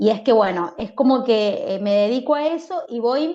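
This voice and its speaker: Her dark, mellow tone sits at a fairly high pitch for a woman, with ordinary pitch variation and a fairly slow pace. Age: 40s. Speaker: life coach. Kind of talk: casual interview.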